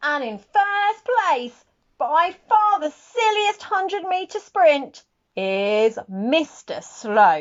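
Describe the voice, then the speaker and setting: This put-on character voice moves at a very slow pace. Its pitch swings very widely. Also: woman, extremely high pitch for a woman. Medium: read story. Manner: stately, announcing.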